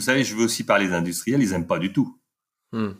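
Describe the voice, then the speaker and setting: A man's voice with ordinary pitch variation on a very clean recording with a silent background. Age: 50s. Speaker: entrepreneur and author. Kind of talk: interview.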